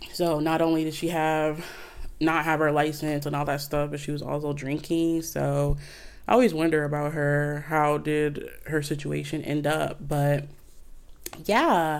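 A woman with a very deep, low pitch talks at a fairly slow pace amid audible room echo. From Flint, Michigan, US. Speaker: podcast host. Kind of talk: casual chat. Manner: animated.

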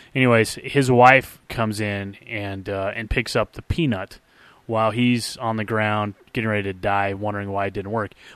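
Over a quiet background, an unremarkable speaking voice moves at a moderate pace with fairly even intonation. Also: man, fairly low pitch for a man. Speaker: podcast co-host. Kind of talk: casual chat.

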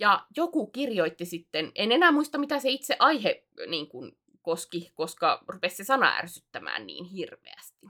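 A woman's fairly high-pitched voice with a bright, sharp tone and vocal fry, at a fairly slow pace, with very wide pitch swings and big swings in loudness. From South Ostrobothnia, Finland (Alajärvi area). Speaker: podcast co-host and video streamer. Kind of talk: casual chat. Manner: frequent hesitations and filler sounds.

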